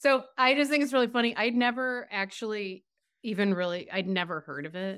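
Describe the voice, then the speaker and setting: A woman speaks at a fairly quick pace in a plain, everyday voice, her fairly high pitch carrying lively intonation over a very clean recording with a silent background. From Massachusetts. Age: 50s. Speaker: writer. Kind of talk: casual chat.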